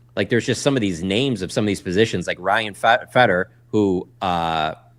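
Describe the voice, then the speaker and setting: Speaking in a normal speaking voice with an American accent, a man talks fairly quickly at a fairly low pitch with ordinary pitch variation, in a very clean recording with a silent background. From Michigan. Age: 40s. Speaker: sports journalist. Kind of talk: casual interview. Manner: fast, many fillers and restarts.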